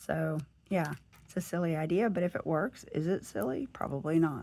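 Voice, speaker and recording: A woman with a Southern US accent speaks at a moderate pace with lively intonation. Her fairly low pitch has a dark, mellow tone. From US South. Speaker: planner and lifestyle vlogger. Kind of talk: casual chat. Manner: chatty.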